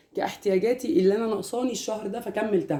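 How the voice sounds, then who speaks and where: A woman's fairly high, dark, mellow voice at a very fast pace, with ordinary pitch variation. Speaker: homemaker vlogger. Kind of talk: casual vlog talk.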